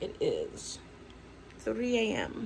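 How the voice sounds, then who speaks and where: Light background noise can be heard while a woman speaks. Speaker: vlogger. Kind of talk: casual vlog chat. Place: home room. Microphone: phone near.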